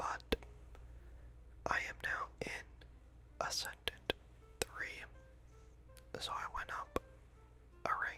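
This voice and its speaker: Whispering comes at a very slow pace with long, frequent pauses. Music plays in the background. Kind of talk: whispered ASMR reading of game hero backstories and esports predictions. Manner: whispered, soft-spoken.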